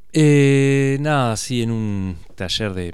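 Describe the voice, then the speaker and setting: The man's pitch varies in an ordinary way. Audible room echo hangs around his words. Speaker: photojournalist. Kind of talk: radio interview. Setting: radio studio.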